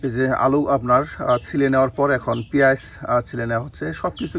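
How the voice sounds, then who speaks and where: A man with a plain, everyday voice at medium pitch and ordinary pitch variation. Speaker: village cooking video narrator. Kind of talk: cooking vlog narration.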